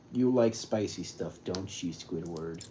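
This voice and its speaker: Putting on a character voice, a man speaks at a very deep, low pitch and a fairly slow pace. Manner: creepy, unsettling.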